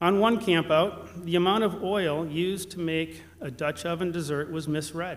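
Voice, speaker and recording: A man speaks in a high voice. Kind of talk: ceremony speech. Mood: warm, lightly humorous. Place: church. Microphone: podium.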